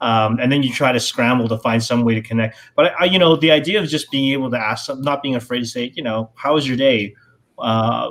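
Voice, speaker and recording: Talking at a fairly quick pace, a man uses a normal speaking voice at medium pitch. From Canada. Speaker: former cruise ship casino dealer. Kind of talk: casual chat.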